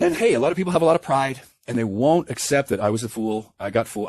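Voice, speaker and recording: Animated and fairly high-pitched, a man speaks with very wide pitch swings. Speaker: online commentator on spiritual awakening. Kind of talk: monologue rant. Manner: fast.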